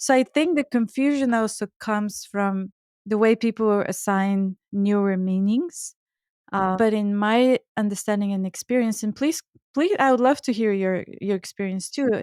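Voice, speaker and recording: In a very clean recording with a silent background, a woman with a Bulgarian accent talks at a moderate pace and a fairly high pitch, with ordinary pitch variation and a dry, close sound free of echo. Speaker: Ayurvedic chef and author. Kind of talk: podcast interview. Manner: halting, repeats words.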